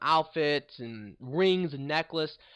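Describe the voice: A man speaks with a fairly high pitch and a fairly bright tone.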